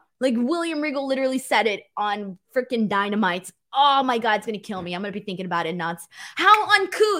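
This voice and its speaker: A woman's animated voice at a fairly quick pace, full of very wide pitch swings, on a very clean recording with a silent background. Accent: American. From California. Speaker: pro wrestling podcast host. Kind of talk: casual show recap with live chat. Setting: live stream.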